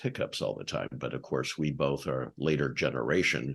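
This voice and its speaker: In a very deep, low voice with vocal fry, a man speaks at a moderate pace. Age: 60s. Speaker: podcast host. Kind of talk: interview.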